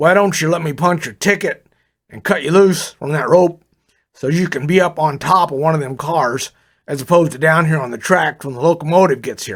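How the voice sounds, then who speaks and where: Putting on a raspy, gruff character voice, a man talks at a fairly quick pace in a fairly high pitch with ordinary pitch variation, in a very clean recording with a silent background. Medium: read story. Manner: folksy, easygoing.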